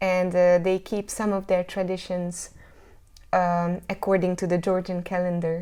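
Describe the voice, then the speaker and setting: The speech has a Hungarian accent, a dark, mellow tone and monotone, flat intonation at a fairly slow pace. It is a very clean recording with a silent background. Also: woman, medium pitch for a woman. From Hungary, north of Budapest. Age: 30s. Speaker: jazz singer. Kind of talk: interview. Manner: halting.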